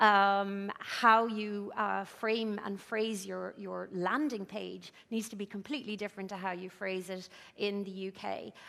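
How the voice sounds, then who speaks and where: A woman's bright, sharp tone at a fairly slow pace, with fairly even intonation, hardly any pauses and a very clean recording with a silent background. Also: medium pitch for a woman. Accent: Irish. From Ireland. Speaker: business founder speaker. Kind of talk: conference talk. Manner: hesitant, many fillers.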